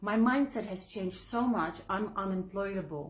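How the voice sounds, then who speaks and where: A woman with a non-native accent, medium in pitch and somewhat breathy, with an animated tone and a fairly slow pace. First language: not English. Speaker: author and online entrepreneur. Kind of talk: live video monologue. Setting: live video.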